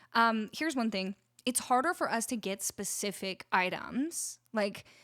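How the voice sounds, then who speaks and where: A bright, sharp, animated tone with an American accent, lively intonation and a fairly slow pace, in a dry, close sound with no echo and a very clean recording with a silent background. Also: woman, fairly high pitch for a woman. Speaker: musician and live streamer. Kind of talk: casual live stream chat. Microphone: studio dynamic mic.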